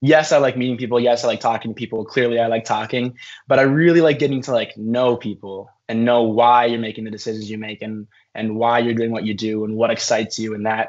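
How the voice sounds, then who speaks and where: A man talks very fast at a medium pitch. His intonation is fairly even. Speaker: university student leader. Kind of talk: interview. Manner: loud.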